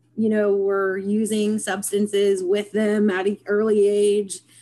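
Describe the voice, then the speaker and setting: With an Appalachian accent and a dark, mellow tone, a woman speaks at a fairly slow pace with fairly even intonation. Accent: Appalachian American. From West Virginia, Parkersburg area. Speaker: social services worker, former private detective. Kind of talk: interview. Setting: video call.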